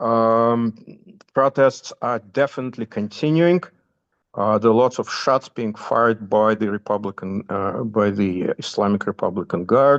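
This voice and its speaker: A man speaks at a fairly slow pace, his medium pitch showing ordinary variation. The background is quiet. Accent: Russian. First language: Russian. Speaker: commentator giving news updates. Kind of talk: informal talk within a class. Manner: halting, many fillers.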